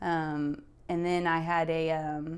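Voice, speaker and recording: Fairly low in pitch, a woman's voice comes through on a very clean recording with a silent background. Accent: American. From West Texas (Midland). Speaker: health practitioner. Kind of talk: personal testimony interview. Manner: hesitant, many fillers.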